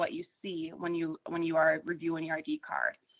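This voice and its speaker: A woman with an American accent speaks at a fairly quick pace with lively intonation. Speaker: pharmacy benefits account representative. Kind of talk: webinar presentation.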